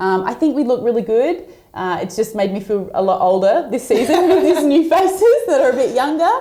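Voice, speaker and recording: A loud woman with an Australian accent, a dark, mellow tone and very wide pitch swings. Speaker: professional basketball player. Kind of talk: casual interview.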